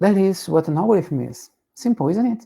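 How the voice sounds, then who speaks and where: Speaking at a moderate pace with a Portuguese accent, a man has a dark, mellow tone and lively intonation. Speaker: tech educator. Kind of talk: tutorial.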